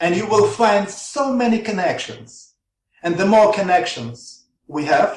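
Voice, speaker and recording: Lively intonation in a Russian accent. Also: man. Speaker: researcher. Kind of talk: interview. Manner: halting.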